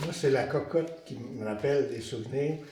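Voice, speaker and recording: There is audible room echo as a man with a fairly high pitch speaks. His pace is very slow and his pitch variation ordinary. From Quebec, Montreal. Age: 70s. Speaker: retired resident. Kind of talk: group interview.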